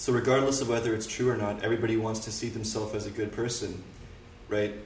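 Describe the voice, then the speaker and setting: There is noticeable background noise and audible room echo as a man with a Canadian accent speaks in a medium pitch with fairly even intonation. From Canada. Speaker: political commentator. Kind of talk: casual interview.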